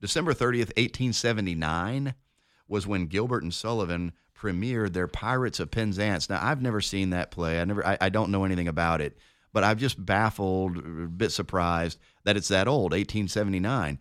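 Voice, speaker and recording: An unremarkable speaking voice from a man with an American accent, fairly low in pitch with ordinary pitch variation, at a fairly quick pace, on a very clean recording with a silent background. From Denver, Colorado. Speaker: radio co-host and lawyer. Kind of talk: casual chat.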